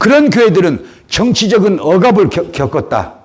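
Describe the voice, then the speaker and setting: This man talks at a fairly slow pace, his tone animated and his intonation lively. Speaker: pastor. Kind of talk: sermon. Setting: church service. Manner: animated, exclamatory preaching.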